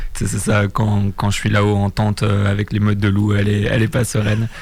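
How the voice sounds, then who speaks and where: A man talks at a moderate pace with a fairly low pitch. Noticeable background noise runs under his voice. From southern France. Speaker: long-distance winter cyclist. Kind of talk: radio interview.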